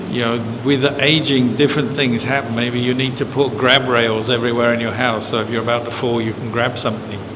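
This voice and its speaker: Talking at a fairly quick pace with hardly any pauses, a man at medium pitch keeps a monotone, flat intonation amid noticeable background noise and audible room echo. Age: 60s. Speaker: Buddhist monk. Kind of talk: dharma talk Q&A. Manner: conversational.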